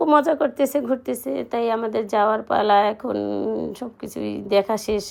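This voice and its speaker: A woman speaks with a fairly high pitch. Her intonation is lively, and vocal fry comes through. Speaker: vlogger. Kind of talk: casual vlog narration. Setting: outdoors.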